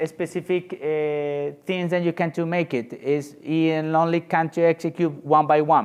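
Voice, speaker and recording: A man with a Spanish accent, fairly high pitch, monotone, flat intonation and a fairly slow pace. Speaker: software engineer presenter. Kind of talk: conference Q&A. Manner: halting.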